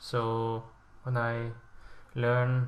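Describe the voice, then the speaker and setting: Somewhat breathy, the man talks at a medium pitch. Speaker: language learning video creator. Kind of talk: casual explainer monologue. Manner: halting, with fillers and self-corrections.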